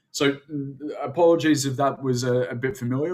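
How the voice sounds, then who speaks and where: This man talks with an Australian accent. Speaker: webinar presenter. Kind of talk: webinar presentation. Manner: halting, many filler sounds.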